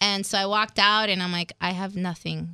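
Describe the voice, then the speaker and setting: Here a woman talks at a very fast pace. Her pitch is medium and her intonation fairly even. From Mexico City. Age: 30s. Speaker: psychologist, nonprofit director. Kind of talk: interview.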